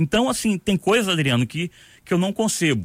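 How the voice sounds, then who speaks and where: A man talks with vocal fry. The sound is dry and close with no echo, recorded very cleanly over a silent background. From Rio de Janeiro, Brazil. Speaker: retired military police colonel. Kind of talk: radio interview. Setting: radio studio.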